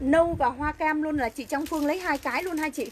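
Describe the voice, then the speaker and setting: There is light background noise as a woman speaks at a fairly quick pace. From Vietnam, Bảo Lộc, Lâm Đồng (Central Highlands); Vietnam. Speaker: online clothing seller. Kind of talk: live sales pitch. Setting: livestream. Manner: animated; fast. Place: shop. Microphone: phone near.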